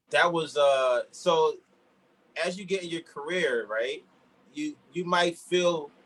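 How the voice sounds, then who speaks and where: The speaker has an American accent. He is a man. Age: 30s. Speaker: DJ. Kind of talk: interview.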